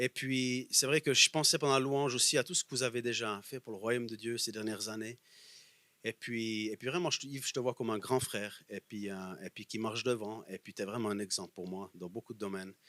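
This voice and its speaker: In a Bernese Jura accent, a bright, sharp voice moves at a fairly quick pace, the sound dry and close with no echo. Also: man, medium pitch for a man, ordinary pitch variation. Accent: Bernese Jura Swiss French. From Bernese Jura, Switzerland. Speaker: guest preacher. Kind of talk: sermon.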